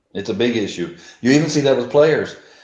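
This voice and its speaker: With a Texan accent, a man talks at a moderate pace in a fairly high pitch with ordinary pitch variation. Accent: Texan American English. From US South, deep south Texas. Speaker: American football coach. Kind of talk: casual chat.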